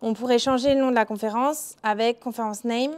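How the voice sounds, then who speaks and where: A woman's high-pitched voice holds a fairly even intonation. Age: 20s. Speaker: mobile software developer; conference speaker. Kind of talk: conference talk. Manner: frequent filler hesitations. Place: hall.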